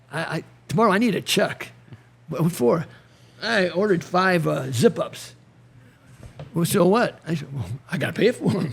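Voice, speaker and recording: A man with an American accent and a high pitch, lively intonation, long, frequent pauses, and noticeable background noise. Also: moderate pace. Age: 70s. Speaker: retired wrestling coach. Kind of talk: casual chat. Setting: podcast in a garage.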